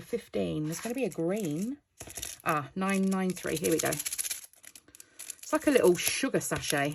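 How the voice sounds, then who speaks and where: Woman, medium pitch, lively intonation, noticeable background noise. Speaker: crafting youtuber. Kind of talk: casual tutorial. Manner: casual, hesitant with fillers.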